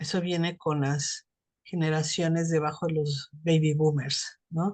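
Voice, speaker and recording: A woman speaks fairly slowly in a very deep, low, somewhat breathy voice. Her intonation is monotone and flat, and her loudness stays very even. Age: 60s. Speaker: psychotherapist. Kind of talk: casual chat.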